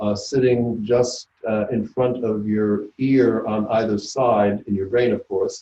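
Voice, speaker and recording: A man of medium pitch talks at a very slow pace in a monotone, flat intonation, with hardly any pauses. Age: 70s. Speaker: neuropathologist, professor. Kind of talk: lecture. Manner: halting, many filler words.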